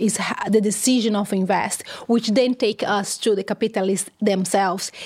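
A woman with a Brazilian accent, medium pitch, a moderate pace and ordinary pitch variation. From Brazil, countryside of São Paulo state. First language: Portuguese. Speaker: economist, university researcher. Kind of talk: interview. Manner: halting, frequent fillers and repetitions.

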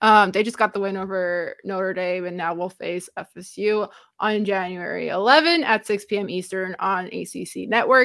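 In a very clean recording with a silent background, a woman speaks. Her pace is moderate and her pitch variation ordinary. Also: medium pitch for a woman. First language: Romanian. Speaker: basketball podcast co-host. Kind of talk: casual chat. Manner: laughs often.

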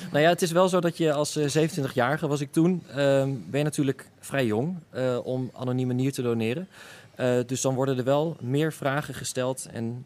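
A man speaks with an ordinary speaking voice at a medium pitch. His pace is moderate, with ordinary pitch variation. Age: 20s. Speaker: kidney donor. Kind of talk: interview.

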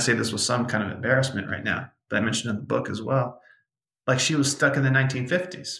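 A man's bright, sharp voice with vocal fry moves at a fairly quick pace. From New York and Brazil. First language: Portuguese. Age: 30s. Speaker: author and meditation facilitator. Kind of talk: interview conversation with guided meditation.

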